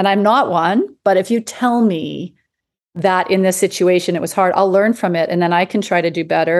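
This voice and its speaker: A woman with a Western Canadian accent, medium pitch and a fairly quick pace against a quiet background. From Canada, Edmonton, Alberta. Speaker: palliative care doctor and coach. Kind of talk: interview conversation.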